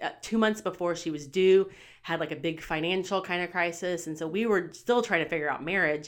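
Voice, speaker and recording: A woman with a normal speaking voice talks fairly quickly at a fairly low pitch, with ordinary pitch variation. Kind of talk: casual interview chat.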